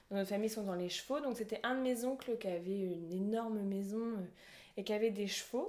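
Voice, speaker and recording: Delivered at a fairly quick pace, the speech has fairly even intonation. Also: woman, fairly high pitch for a woman. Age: 20s. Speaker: horse rider sharing her story. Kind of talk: podcast interview. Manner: halting, many fillers.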